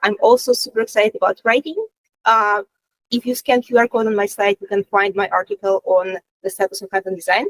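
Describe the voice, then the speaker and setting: Her pitch is fairly high, and she speaks with a non-native accent. This woman talks at a very fast pace. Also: fairly even intonation, dry, close sound with no echo. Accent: non-native English speaker. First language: Russian. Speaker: content design lead. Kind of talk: panel self-introduction. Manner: hesitant, many fillers.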